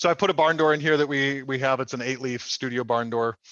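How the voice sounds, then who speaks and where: A man at a fairly quick pace with ordinary pitch variation against a quiet background. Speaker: lighting product manager. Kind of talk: product demo webinar. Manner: fast; hesitant fillers.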